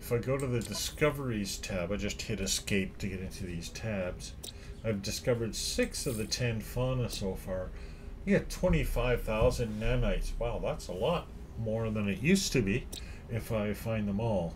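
A man speaks at a moderate pace. Music can be heard in the background. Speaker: game streamer. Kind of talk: gameplay commentary. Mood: pleased, upbeat. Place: home room.

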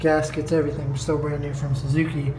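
A man's voice comes through with light background noise and room echo that can be heard. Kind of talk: casual vlog chat. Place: garage. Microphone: phone near.

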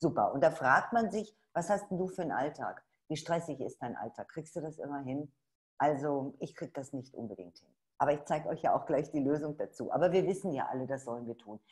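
A woman's very deep, low voice with an animated tone and lively intonation, at a fairly quick pace against a quiet background. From Ruhr area, Dortmund; Ruhr area, Germany. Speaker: webinar host, network marketer; presenter. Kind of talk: sales webinar. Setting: online webinar. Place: home room. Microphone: webcam.

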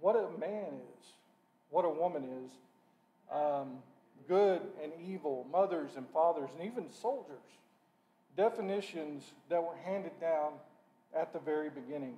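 A man with a high voice speaks at a moderate pace with ordinary pitch variation. He pauses long and often. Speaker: lay preacher. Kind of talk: sermon. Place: church. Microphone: podium.

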